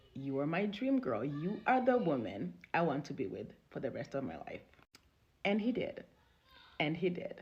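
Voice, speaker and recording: A woman speaks at a fairly low pitch with very wide pitch swings and vocal fry. Her pace is moderate, with long, frequent pauses. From Congo. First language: not English (Congolese language/French). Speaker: relationship storyteller. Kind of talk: personal testimony.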